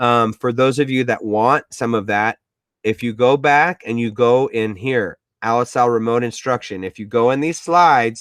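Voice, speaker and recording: A man's unremarkable speaking voice at a moderate pace, with ordinary pitch variation, in a dry, close sound with no echo. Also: medium pitch for a man. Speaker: education technology coach. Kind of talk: webinar tutorial.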